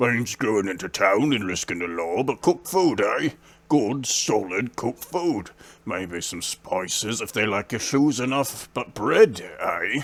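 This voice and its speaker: Putting on a character voice, a man speaks at a moderate pace with medium pitch and lively intonation. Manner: casual, placating.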